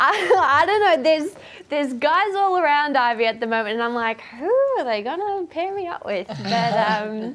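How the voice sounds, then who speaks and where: Very wide pitch swings in an Australian accent at a moderate pace, with noticeable background noise. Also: woman, high pitch for a woman. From Australia, Queensland. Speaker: actress. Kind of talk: TV interview. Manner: hesitant, many fillers.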